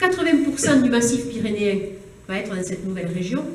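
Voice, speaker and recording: In a southern French accent, a woman talks at a fairly quick pace with very wide pitch swings. Audible room echo and noticeable background noise are present. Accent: southern French (Toulouse). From southern France, Toulouse area (Haute-Garonne). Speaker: politician, regional election candidate. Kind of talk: campaign speech. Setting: public meeting hall with audience.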